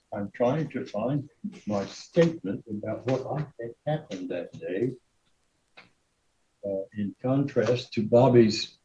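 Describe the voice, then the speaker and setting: Pausing long and often, a man speaks at a very slow pace and a medium pitch, with a dark, mellow tone and ordinary pitch variation. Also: big swings in loudness. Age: 80s+. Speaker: defendant in court. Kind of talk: testimony. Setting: courtroom. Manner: loud; halting.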